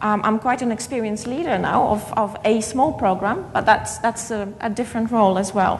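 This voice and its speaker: A woman with a Polish accent talks at a moderate pace in a fairly high pitch. Audible room echo and noticeable background noise surround her voice. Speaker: keynote speaker, education academic. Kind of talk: conference keynote lecture. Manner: halting, with repetitions.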